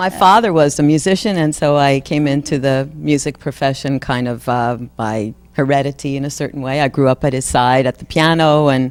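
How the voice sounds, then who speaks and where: With music in the background, a woman in a New York accent speaks at a fairly quick pace, her very deep, low voice showing ordinary pitch variation. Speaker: singer. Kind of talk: interview.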